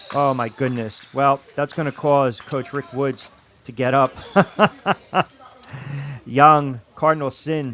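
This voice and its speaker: A man with a fairly high pitch speaks very slowly, with long, frequent pauses. His intonation is fairly even, and there is noticeable background noise. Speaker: sports play-by-play announcer; radio host. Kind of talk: live basketball play-by-play commentary.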